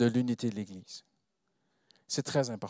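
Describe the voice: The speaker has a non-native accent, heard as a dry, close sound with no echo on a very clean recording with a silent background. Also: man. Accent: non-native French, foreign-accented.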